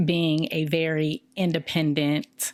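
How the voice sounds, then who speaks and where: A woman with a fairly low pitch and ordinary pitch variation talks in a very clean recording against a silent background. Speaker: podcast co-host. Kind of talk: casual chat. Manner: loud.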